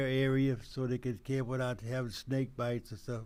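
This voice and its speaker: This man has an American accent and a dark, mellow tone. His pitch is medium and his pace moderate. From Texas. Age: 80s+. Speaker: retired police officer. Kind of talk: radio interview. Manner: halting.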